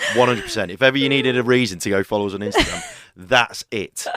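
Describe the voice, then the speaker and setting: Someone talks at a very fast pace with ordinary pitch variation, with noticeable background noise behind. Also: man. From England, living in Melbourne. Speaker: real estate business coach, auctioneer and podcast co-host. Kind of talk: casual podcast conversation. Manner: jokey, chatty.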